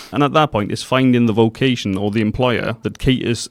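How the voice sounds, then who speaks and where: A man's fairly even-toned voice in a very clean recording, with a silent background and a dry, close sound with no echo. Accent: South Wales Valleys. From South Wales, Pontypridd area. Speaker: youth training provider staff. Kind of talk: radio interview.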